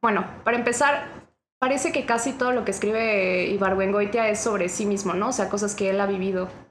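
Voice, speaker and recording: With audible room echo, a woman of medium pitch speaks fairly quickly, her loudness very even and her pitch varying in an ordinary way. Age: 20s. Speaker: podcast guest, literature graduate. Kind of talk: casual chat.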